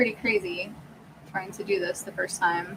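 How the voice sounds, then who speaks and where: Noticeable noise fills the background while the speech keeps a moderate pace. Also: woman. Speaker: YouTuber. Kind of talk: livestream Q&A.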